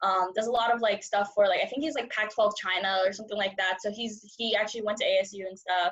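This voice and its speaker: A woman with a Californian accent at a very fast pace, medium pitch, fairly even intonation and hardly any pauses. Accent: Californian American English. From San Francisco, US. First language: Cantonese. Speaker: journalism student. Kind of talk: casual interview chat.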